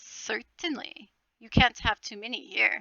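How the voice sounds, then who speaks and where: The speaker is a woman using a put-on character voice. Her pace is fairly slow. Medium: read story. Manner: formal, measured, courteous.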